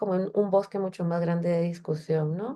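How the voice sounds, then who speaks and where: A dark, mellow tone at a moderate pace. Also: woman. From Central America. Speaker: feminist technology researcher. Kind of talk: lecture.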